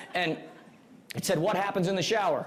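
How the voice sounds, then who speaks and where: A man's high-pitched, animated voice at a very fast pace, with ordinary pitch variation, audible room echo and noticeable background noise. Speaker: real estate coach. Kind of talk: seminar presentation.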